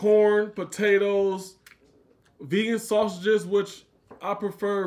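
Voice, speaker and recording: The background stays quiet. His voice sits high in pitch. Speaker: food vlogger host. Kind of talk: casual vlog chat.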